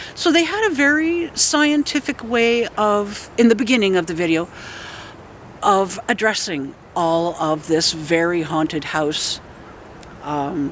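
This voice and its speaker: The voice moves in very wide pitch swings at a fairly slow pace, with long, frequent pauses. Noticeable background noise is present. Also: woman. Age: 60s. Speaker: paranormal investigator and video blogger. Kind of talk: casual vlog monologue.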